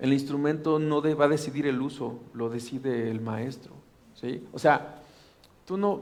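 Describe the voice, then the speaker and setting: With a Mexican accent, a man speaks at a fairly slow pace and a fairly high pitch, with ordinary pitch variation. Audible room echo surrounds his voice. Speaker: pastor. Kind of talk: sermon. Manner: animated.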